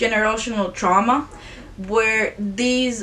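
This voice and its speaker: With a non-native accent, a woman speaks very slowly at a fairly high pitch and with fairly even intonation. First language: not English. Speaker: YouTuber, film reviewer. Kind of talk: casual video review. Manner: halting, self-correcting.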